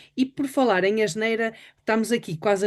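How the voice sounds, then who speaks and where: Against a quiet background, a woman talks in a plain, everyday voice with fairly high pitch. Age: 60s. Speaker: webinar host. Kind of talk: interview.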